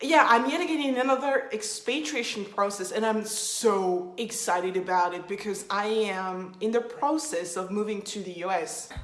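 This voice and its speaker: A woman with a French accent speaks in an animated tone at a moderate pace with hardly any pauses, her fairly high voice showing lively intonation over noticeable background noise. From France. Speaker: vlogger. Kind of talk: casual vlog talk to camera. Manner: animated, casual.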